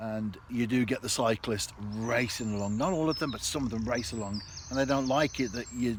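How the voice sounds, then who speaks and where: A man talks at a moderate pace in a normal speaking voice. His pitch is medium, with ordinary pitch variation. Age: 60s. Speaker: vlogger. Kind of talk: casual vlog monologue. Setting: outdoors.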